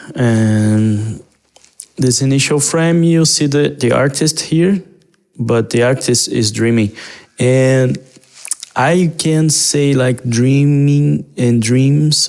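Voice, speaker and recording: In a Portuguese accent, a man speaks at a very slow pace with very even loudness. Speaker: digital artist. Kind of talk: casual walkthrough narration. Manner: halting, with repetitions and fillers.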